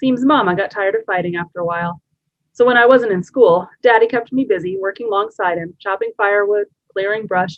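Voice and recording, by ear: The background stays quiet. The voice is reading aloud in a natural voice.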